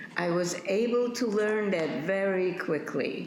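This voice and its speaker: In a room with audible echo, a woman speaks very slowly with lively intonation. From Poland. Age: 80s+. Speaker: Holocaust survivor. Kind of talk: testimony.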